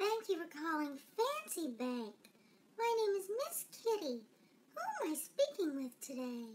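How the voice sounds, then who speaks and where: A female-sounding, put-on character voice with an extremely high pitch and very wide pitch swings. It moves at a fairly slow pace. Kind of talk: customer service phone greeting.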